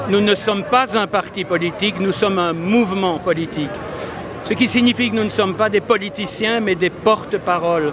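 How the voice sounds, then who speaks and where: A man speaks at a moderate pace in a high voice for a man, his intonation fairly even. Noticeable background noise runs underneath. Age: 70s. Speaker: politician and doctor. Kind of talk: interview. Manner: hesitant, repeats words.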